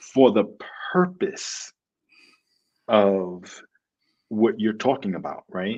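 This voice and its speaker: Speaking very slowly with long, frequent pauses, a man with a New York accent uses a fairly low pitch and lively intonation against a quiet background. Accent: New York City. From New York City. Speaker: education startup founder. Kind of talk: interview answers. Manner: enthusiastic.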